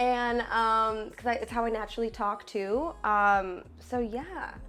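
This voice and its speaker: A woman's animated, fairly high-pitched voice at a fairly slow pace, with ordinary pitch variation, audible room echo and music in the background. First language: Spanish. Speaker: singer and songwriter. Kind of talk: casual interview.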